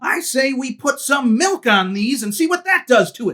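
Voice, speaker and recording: A high-pitched, put-on character voice. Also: moderate pace. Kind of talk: food review to camera. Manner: upbeat.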